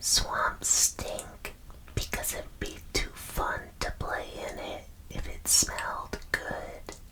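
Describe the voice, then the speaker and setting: Whispering comes very slowly with noticeable background noise behind it. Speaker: ASMR content creator / vtuber. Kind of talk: ASMR whisper roleplay, deadpan false facts read to camera. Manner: whispered, soft-spoken.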